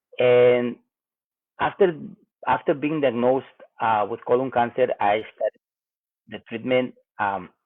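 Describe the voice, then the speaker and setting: A man with a Spanish accent and a medium pitch speaks at a fairly slow pace, using ordinary pitch variation and long, frequent pauses. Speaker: cancer patient vlogger. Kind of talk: personal health update vlog. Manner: halting, hesitant.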